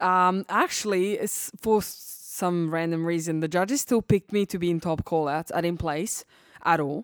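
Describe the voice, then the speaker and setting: A woman speaks in a Serbian accent at a moderate pace. Her pitch sits fairly low. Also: ordinary pitch variation. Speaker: bikini competitor. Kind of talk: casual interview chat. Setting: studio.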